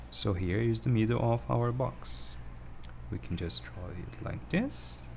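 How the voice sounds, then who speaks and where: In a room with audible echo, a man with a very deep, low pitch speaks fairly slowly, using vocal fry and very wide pitch swings. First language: not English. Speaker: drawing tutorial streamer. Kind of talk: tutorial. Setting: livestream. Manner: halting. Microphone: poor microphone.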